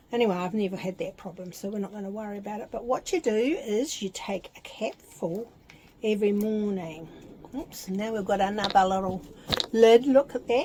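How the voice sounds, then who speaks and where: A woman with a New Zealand accent talks at a moderate pace and medium pitch, with ordinary pitch variation and big swings in loudness, over noticeable background noise. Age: 70s. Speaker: vlogger. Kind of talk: casual vlog with product unboxing. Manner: chatty, informal.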